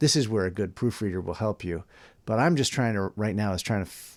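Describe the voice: Simply plain reading aloud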